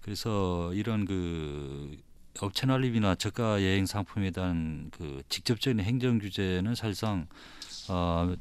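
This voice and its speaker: This man talks at a fairly slow pace, his fairly low voice showing ordinary pitch variation. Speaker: provincial tourism official. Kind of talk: panel debate. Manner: halting.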